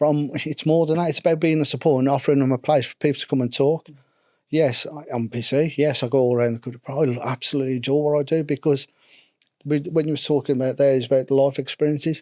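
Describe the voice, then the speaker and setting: The recording is very clean, with a silent background and a dry, close sound with no echo. A man with a fairly high pitch and a dark, mellow tone talks at a very fast pace. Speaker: mental health first aid instructor. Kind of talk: podcast interview. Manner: animated.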